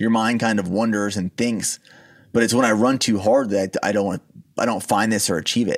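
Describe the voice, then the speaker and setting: In a normal speaking voice, a man with a fairly low pitch talks at a fairly quick pace with fairly even intonation. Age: 30s. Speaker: supplement company founder and army veteran. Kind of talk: interview.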